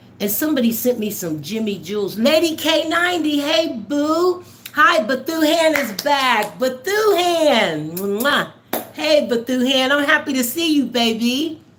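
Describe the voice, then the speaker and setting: With noticeable background noise behind her, a woman speaks in an animated tone at a high pitch with very wide pitch swings. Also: fairly slow pace. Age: 60s. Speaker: livestream host. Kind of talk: casual chat.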